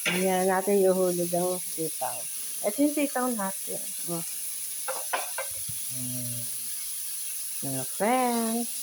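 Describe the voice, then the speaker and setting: Over noticeable background noise, a woman with a medium pitch talks at a very slow pace with very wide pitch swings and long, frequent pauses. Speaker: cooking vlogger. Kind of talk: cooking tutorial. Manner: casual, chatty.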